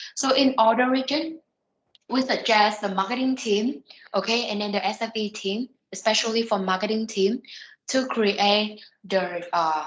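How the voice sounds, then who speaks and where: A woman talks at a moderate pace in a normal speaking voice. Her pitch variation is ordinary. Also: fairly high pitch for a woman. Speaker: software trainer. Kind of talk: online training session.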